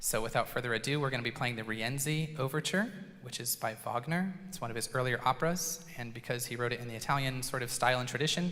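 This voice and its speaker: With hardly any pauses, a man rattles along at a very fast pace, his medium pitch showing ordinary variation. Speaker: school band director. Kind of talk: concert introduction. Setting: stage with audience, PA system. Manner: loud.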